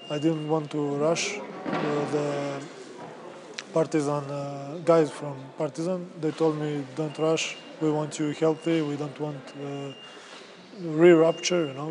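Someone with a Serbian accent speaks at a very slow pace in a monotone, flat intonation, leaving long, frequent pauses. Noticeable background noise is present. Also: man, fairly high pitch for a man. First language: Serbian (speaking German). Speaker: basketball player. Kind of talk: interview.

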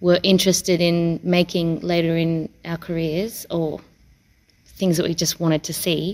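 A woman speaks with an Australian accent. Her pitch is fairly low and her pace fairly slow. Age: 30s. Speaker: circus performer. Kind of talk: interview.

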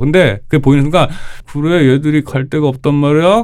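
A man with a fairly high pitch at a very fast pace. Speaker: PhD-holding pop culture commentator. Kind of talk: casual panel discussion. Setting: studio.

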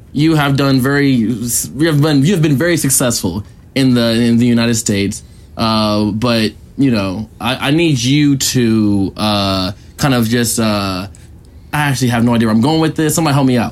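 At a moderate pace, a man talks in a normal speaking voice, medium in pitch with ordinary pitch variation. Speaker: podcast host. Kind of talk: casual banter interview. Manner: joking, laughing.

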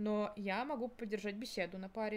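A woman talks in an ordinary speaking voice at a moderate pace, her pitch varying in an ordinary way. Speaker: university student. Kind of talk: casual chat.

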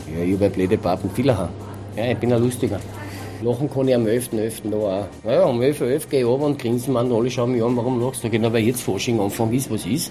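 Over music in the background, a man talks at a very fast pace, at a medium pitch with ordinary pitch variation. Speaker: cook. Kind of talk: casual chat. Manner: laughing.

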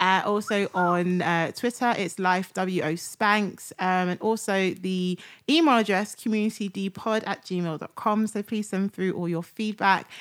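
A normal speaking voice with fairly even intonation runs with hardly any pauses, in a very clean recording with a silent background. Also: woman, medium pitch for a woman, fairly slow pace. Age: 30s. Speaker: podcast host. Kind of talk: casual chat.

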